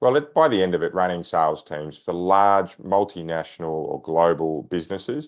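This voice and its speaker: Over a quiet background, a man with an Australian accent talks at a moderate pace in a very deep, low voice with ordinary pitch variation. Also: hardly any pauses. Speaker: sales trainer. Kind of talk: podcast interview.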